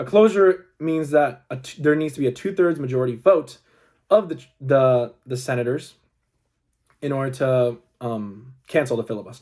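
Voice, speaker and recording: A man's medium-pitched voice at a moderate pace, with lively intonation and big swings in loudness. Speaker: student. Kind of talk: class presentation. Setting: recorded video presentation. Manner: halting.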